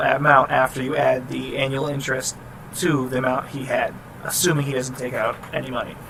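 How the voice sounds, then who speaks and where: This man talks at a fairly quick pace against noticeable background noise. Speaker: student explaining class programming assignment. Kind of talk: tutorial. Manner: fast; casual, halting with restarts.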